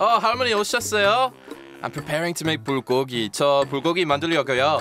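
Music plays in the background as a man talks at a moderate pace. His fairly high voice swings very widely in pitch. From England. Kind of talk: scripted radio segment.

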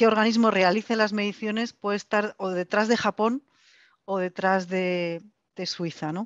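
In a quiet background, a woman talks at a fairly slow pace with long, frequent pauses. Her pitch is medium and her intonation fairly even. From Spain. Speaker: foundation executive, panelist; panelist. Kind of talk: online panel discussion. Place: office. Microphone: headset.

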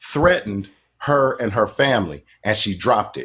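A man's lively intonation at a moderate pace. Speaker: caller. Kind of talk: casual political discussion. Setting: live call. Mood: earnest, conversational. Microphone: phone near.

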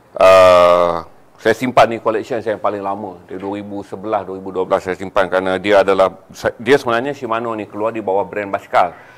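A man with a plain, everyday voice talks at a moderate pace, fairly low in pitch, with fairly even intonation. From Malaysia. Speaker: business motivational speaker; motivational speaker. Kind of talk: live-stream talk. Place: studio. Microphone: lapel.

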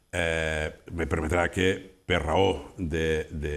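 This man speaks at a very deep, low pitch. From Tortosa, Catalonia. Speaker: local politician. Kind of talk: press statement. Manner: halting. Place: studio. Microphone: lapel.

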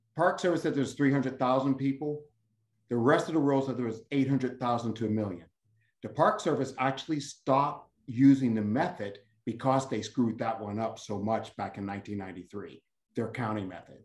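Over a quiet background, a man talks at a moderate pace with ordinary pitch variation and audible room echo. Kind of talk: panel remarks, personal story. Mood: earnest, reflective. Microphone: video call.

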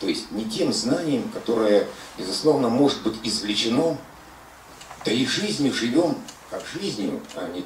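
A man at a fairly slow pace with long, frequent pauses, big swings in loudness, audible room echo and light background noise. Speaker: philosopher, seminar co-leader; seminar lecturer. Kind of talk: philosophical seminar talk. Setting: lecture room with audience and microphone. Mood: reflective, philosophical. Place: home room.

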